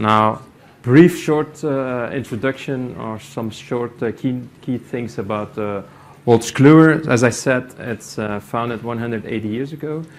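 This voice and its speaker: A man with a Flemish accent talks at a fairly slow pace. His medium pitch shows ordinary variation. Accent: Belgian Dutch (Flemish) accent in English. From Belgium. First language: Dutch. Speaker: company IT executive. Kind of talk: conference presentation. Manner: halting, many fillers.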